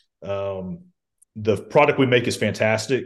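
Over a quiet background, a man with a Georgia accent speaks at a moderate pace in a fairly low voice. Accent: Southern American (Georgia). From US South, Columbus, Georgia. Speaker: lobbyist for a trade association. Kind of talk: interview, casual chat. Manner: many fillers and hesitations.

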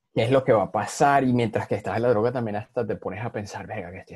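In a Venezuelan accent, the voice comes across somewhat breathy with a dark, mellow tone. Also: man. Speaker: podcast guest. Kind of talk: casual chat.

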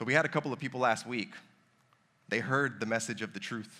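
The man talks at a fairly quick pace. His tone is bright and sharp. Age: 30s. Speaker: pastor. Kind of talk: sermon. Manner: casual, conversational.

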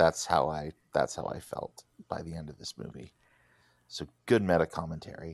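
A man's very deep, low voice with vocal fry, moderate pace, ordinary pitch variation, big swings in loudness, long and frequent pauses, and a dry, close sound with no echo. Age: 40s. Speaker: podcast host. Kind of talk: casual chat.

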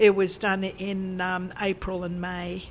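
A woman of medium pitch speaks in an Australian accent. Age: 70s. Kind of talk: interview. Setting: old packing shed.

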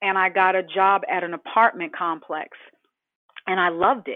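A woman speaks at medium pitch with an American accent. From Boston. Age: 50s. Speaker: real estate agent. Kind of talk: interview, casual chat. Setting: phone call. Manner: animated.

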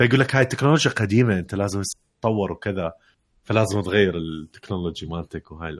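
In a very clean recording with a silent background, a man with a fairly low voice speaks very fast, his loudness swinging widely while his pitch varies in an ordinary way. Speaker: podcast co-host. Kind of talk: casual chat.

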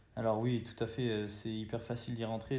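A man with a medium-pitched voice speaks at a moderate pace in monotone, flat intonation, with audible room echo around him. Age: 20s. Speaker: university student. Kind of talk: interview. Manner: hesitant, with fillers and repetitions.

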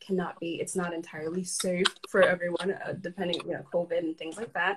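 At a fairly quick pace, a woman talks in a normal speaking voice of medium pitch with fairly even intonation. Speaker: guest. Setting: Instagram live video.

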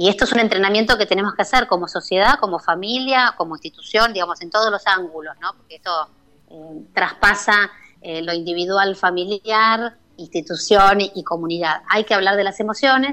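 A woman with a bright, sharp tone and medium pitch speaks at a moderate pace, her pitch varying in an ordinary way while her loudness swings widely. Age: 50s. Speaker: neuropsychologist. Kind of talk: radio interview.

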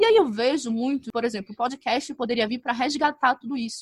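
A woman's high voice, with ordinary pitch variation, comes through dry and close with no echo. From northern Brazil. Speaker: advertising professional and podcaster. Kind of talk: casual interview. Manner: calm-sounding.

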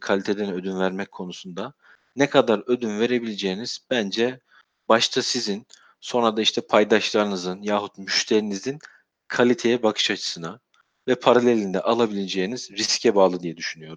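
In a normal speaking voice, a man with a fairly low pitch talks at a moderate pace with fairly even intonation, the sound dry and close with no echo against a quiet background. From Turkey, Sivas. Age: 30s. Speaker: QA manager at a security software company. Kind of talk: interview.

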